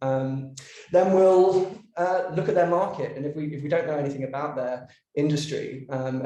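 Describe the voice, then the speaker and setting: A man with an English accent talks at a fairly quick pace with fairly even intonation. His fairly high-pitched voice has a dark, mellow tone and is somewhat breathy. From London, England. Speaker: creative director, brand designer. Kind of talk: podcast interview. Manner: hesitant, many fillers and repeats.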